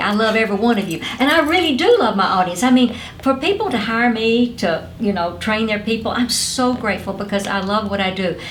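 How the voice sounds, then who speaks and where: With a Southern US accent, a woman talks in an animated tone at a fairly quick pace, with audible room echo and noticeable background noise. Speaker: motivational speaker and former network marketing company president. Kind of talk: interview.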